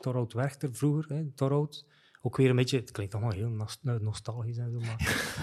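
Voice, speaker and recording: The recording is very clean, with a silent background. A man talks at a moderate pace and medium pitch, with fairly even intonation and a plain, everyday voice. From West Flanders, Belgium (Lauwe, Wevelgem). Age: 50s. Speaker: e-commerce strategy consultant. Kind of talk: casual interview chat. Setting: studio.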